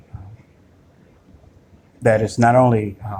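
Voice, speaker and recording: Speaking at a fairly slow pace, a man with a fairly low pitch sounds somewhat breathy and keeps his intonation flat and monotone. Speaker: video blogger. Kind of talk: screen-recorded monologue. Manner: halting, many fillers.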